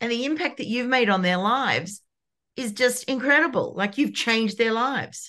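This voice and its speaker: A woman's high-pitched voice, bright and sharp in tone and animated, with ordinary pitch variation, at a moderate pace against a quiet background. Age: 50s. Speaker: podcast host. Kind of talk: casual chat.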